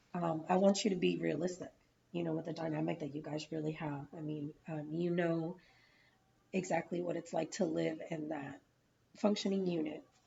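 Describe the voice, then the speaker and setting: Vocal fry runs through a woman's fairly low voice. She keeps a fairly even intonation at a moderate pace. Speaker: counselling student in practice session. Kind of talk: mock counselling session.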